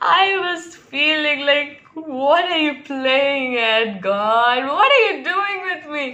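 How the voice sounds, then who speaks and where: Speaking very slowly in a raised, projected voice, a woman swings very widely in pitch. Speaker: vlogger. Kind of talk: casual vlog chat. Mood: amused, laughing often. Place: home room. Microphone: phone near.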